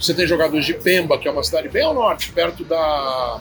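At a moderate pace, the voice comes through with music in the background and audible room echo. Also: man. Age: 40s. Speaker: journalist and sports commentator. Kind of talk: casual interview.

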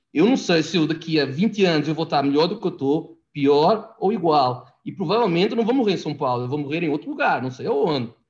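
A normal speaking voice, this man's is fairly high in pitch, with lively intonation, a fairly quick pace and hardly any pauses. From Portugal. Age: 40s. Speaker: immigrant guest. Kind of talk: casual chat.

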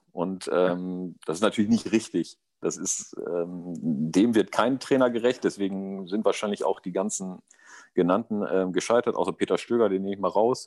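A man with a normal speaking voice talks at a moderate pace and fairly low pitch, with ordinary pitch variation. The recording is very clean, with a silent background. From East Westphalia, Germany. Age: 40s. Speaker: amateur football coach. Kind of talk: casual chat.

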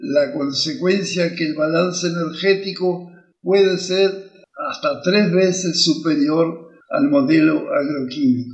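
There is audible room echo. A man speaks very slowly at a high pitch with ordinary pitch variation. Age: 80s+. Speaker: professor and educational podcaster. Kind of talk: lecture. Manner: halting.

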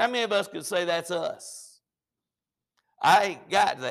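A man speaks with a Southern US accent. His pace is moderate. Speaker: pastor. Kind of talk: sermon. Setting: church. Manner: halting, repeats words.

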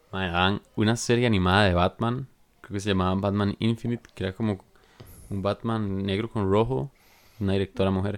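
A man talks at a moderate pace in an unremarkable speaking voice, his fairly low pitch held to a fairly even intonation. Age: 20s. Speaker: podcast co-host. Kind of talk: casual chat.

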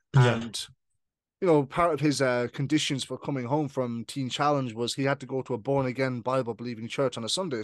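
Against a quiet background, a man with an Irish accent speaks with fairly even intonation in a dry, close sound without echo. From Ireland. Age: 20s. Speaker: podcast host, guest in own show. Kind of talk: casual interview, testimony.

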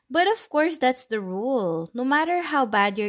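With a Filipino accent, a woman talks at a moderate pace, her pitch swinging very widely. The sound is dry and close, with no echo. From Philippines. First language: Tagalog. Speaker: podcaster. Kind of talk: casual monologue mixing English and Tagalog. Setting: at home, recording alone.

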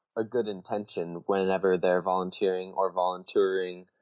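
A man with a fairly low pitch talks in a normal speaking voice at a moderate speed. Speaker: podcast host. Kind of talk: scripted intro then interview.

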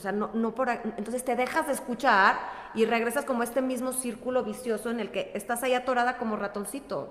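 Noticeable background noise behind fairly quick speech. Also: woman, high pitch for a woman. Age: 40s. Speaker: wellness coach. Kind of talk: casual chat.

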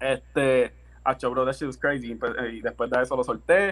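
The man keeps a fairly slow pace, his intonation lively. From Puerto Rico, Levittown; partly raised abroad (army family). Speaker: music producer and rapper. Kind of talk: casual interview chat.

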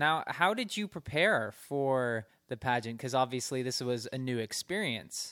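At a fairly slow pace with hardly any pauses, a man of medium pitch talks with lively intonation and a bright, sharp tone in a very clean recording with a silent background. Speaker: radio host. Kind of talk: casual interview. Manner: casual, conversational with fillers.

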